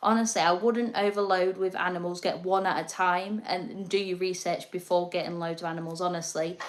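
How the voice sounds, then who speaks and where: Speech in an English accent moves at a fairly quick pace with hardly any pauses. The intonation is fairly even, and background noise is noticeable. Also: woman, medium pitch for a woman. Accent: quirky English. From northern England, North East Lincolnshire. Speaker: reptile keeper and livestreamer. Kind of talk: casual livestream chat. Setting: live stream at home.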